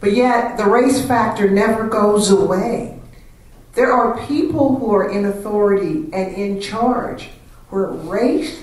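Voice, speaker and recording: With audible room echo, a woman at a medium pitch talks at a fairly slow pace. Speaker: panelist answering audience questions. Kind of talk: panel discussion. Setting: stage with audience. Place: hall.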